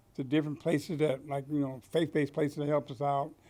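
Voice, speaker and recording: Dark and mellow in tone yet fairly high in pitch, a man speaks fairly quickly in a flat monotone on a very clean recording with a silent background. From Washington State, Tacoma. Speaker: formerly homeless shelter guest. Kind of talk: interview testimony. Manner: hesitant, many fillers.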